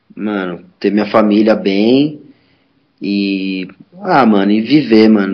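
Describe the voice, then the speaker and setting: Here a man speaks in a plain, everyday voice. His pitch sits fairly low, with ordinary pitch variation. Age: 30s. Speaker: skateboarder and skate teacher. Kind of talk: casual chat.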